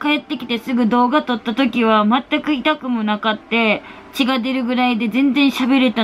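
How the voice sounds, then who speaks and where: A woman talks in a high pitch. There is light background noise. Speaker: vlogger. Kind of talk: casual vlog chat. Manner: pained, partly covered speech, sore jaw. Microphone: phone near.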